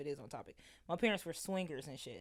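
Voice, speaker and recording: A woman with a very deep, low pitch at a very fast pace, in a very clean recording with a silent background. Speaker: comedian. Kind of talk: casual chat. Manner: loud.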